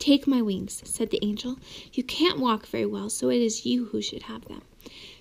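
This is an unforced reading voice. It is heard throughout.

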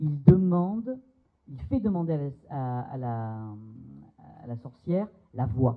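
A man with a fairly high pitch speaks very slowly, taking long, frequent pauses. His pitch swings very widely, and the background is quiet. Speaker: psychoanalyst. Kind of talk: seminar talk. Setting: seminar room with audience. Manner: hesitant, many fillers. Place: hall. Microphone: handheld.

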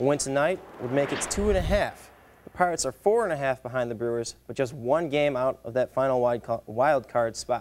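A man talks at a fairly quick pace with ordinary pitch variation and a medium pitch. It is a normal speaking voice. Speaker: student sports anchor. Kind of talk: news reading.

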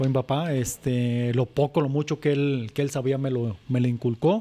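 Here is a man with a normal speaking voice. He has a medium pitch and keeps a moderate pace. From Zacatecas, Mexico. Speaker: charro, rope-trick instructor. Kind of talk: casual chat.

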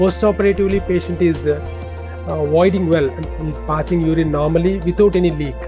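A man talks at a fairly quick pace. Music plays clearly in the background. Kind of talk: interview answer. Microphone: lapel.

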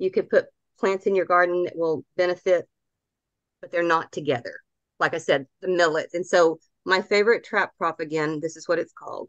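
Woman with a Southern US accent, fairly low-pitched, at a fairly quick pace, fairly even intonation and big swings in loudness, dry, close sound with no echo. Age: 60s. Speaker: gardening speaker. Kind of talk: lecture. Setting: video call.

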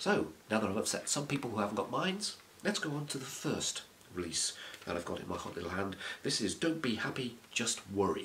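Male speech with very wide pitch swings and light background noise. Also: fairly quick pace. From UK. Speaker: music collector YouTuber. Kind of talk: casual review monologue. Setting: home video recording. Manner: fast talker; animated. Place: home room. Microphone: webcam.

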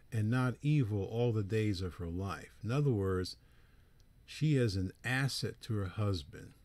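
An ordinary speaking voice from a man, medium pitch, lively intonation and a fairly slow pace, on a very clean recording with a silent background. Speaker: preacher. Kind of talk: lecture.

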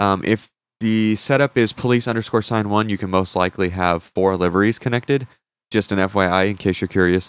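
At a fairly quick pace, a man talks with a fairly low pitch, the sound dry and close with no echo in a very clean recording with a silent background. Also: fairly even intonation. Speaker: gaming YouTuber. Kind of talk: tutorial. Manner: casual, with many fillers.

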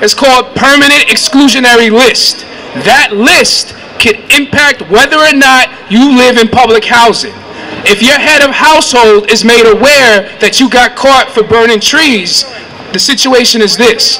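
At a fairly slow pace, a man speaks with an extremely high pitch and ordinary pitch variation over light background noise. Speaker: community organizer. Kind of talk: rally speech. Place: street. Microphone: handheld.

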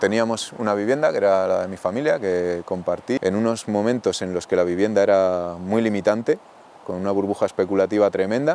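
There is light background noise as a man with a fairly low pitch and a dark, mellow tone speaks at a moderate pace, the sound dry with no echo. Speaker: rural community project member, baker. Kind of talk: interview answer. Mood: reflective, candid. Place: open country. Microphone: lapel.

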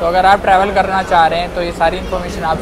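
A man keeps a moderate pace as loud background noise fills the recording. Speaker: travel vlogger. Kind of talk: casual vlog chat. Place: train. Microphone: phone near.

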